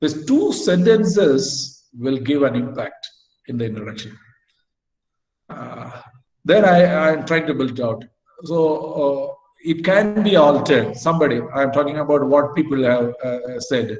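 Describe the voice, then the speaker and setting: Amid audible room echo, a somewhat breathy man with a fairly high pitch speaks at a moderate pace with ordinary pitch variation and long, frequent pauses. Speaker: academic lecturer. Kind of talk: lecture. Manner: halting.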